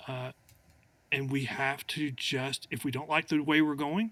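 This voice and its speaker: At a moderate pace, a plain, everyday voice carries ordinary pitch variation. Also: man. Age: 60s. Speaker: attorney. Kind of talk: casual chat.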